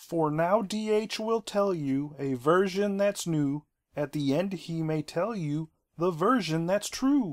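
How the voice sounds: Using a put-on character voice, a man speaks high and fairly slowly on a very clean recording with a silent background.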